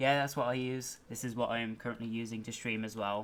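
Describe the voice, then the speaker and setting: A man's medium-pitched voice, fairly quick, with monotone, flat intonation. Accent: British. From Britain. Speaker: gaming streamer. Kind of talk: livestream commentary. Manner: halting.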